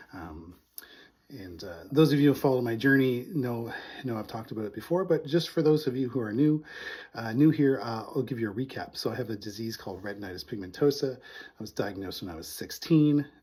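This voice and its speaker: A man speaks at a fairly quick pace in a dark, mellow, somewhat breathy tone. His intonation is lively, with big swings in loudness. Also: medium pitch for a man. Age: 40s. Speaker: vlogger with low vision. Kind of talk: casual vlog talk. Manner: hesitant, many fillers.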